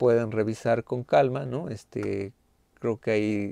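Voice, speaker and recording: The voice has a dark, mellow tone and moves at a fairly slow pace. The sound is dry with no echo, over a quiet background. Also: man. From Mexico. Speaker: university lecturer. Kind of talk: online class lecture. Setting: video call. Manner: halting, many fillers. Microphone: webcam.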